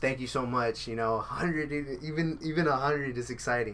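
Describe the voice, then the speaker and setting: A man talks at a fairly quick pace in a normal speaking voice with ordinary pitch variation. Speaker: podcast host. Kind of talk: casual chat. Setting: studio.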